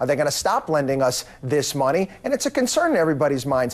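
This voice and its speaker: Someone with an American accent talks at a fairly quick pace in an unremarkable speaking voice. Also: man. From USA. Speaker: financial commentator. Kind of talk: TV news interview.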